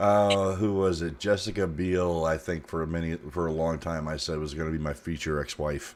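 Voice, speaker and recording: An American accent at a moderate pace, fairly even intonation and hardly any pauses. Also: man, very deep, low pitch for a man. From South Florida. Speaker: streamer. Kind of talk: casual chat.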